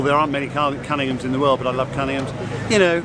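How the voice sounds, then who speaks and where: A man with an English accent speaks at fairly high pitch with fairly even intonation. Audible room echo and noticeable background noise come through. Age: 60s. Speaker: car show judge. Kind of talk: interview.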